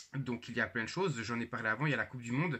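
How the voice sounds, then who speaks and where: The speaker talks with a Jura accent. Pitch variation is ordinary. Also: man. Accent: Swiss French (Jura). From Switzerland, canton of Jura. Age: 20s. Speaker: YouTuber. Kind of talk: channel introduction vlog. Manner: hesitant, many fillers.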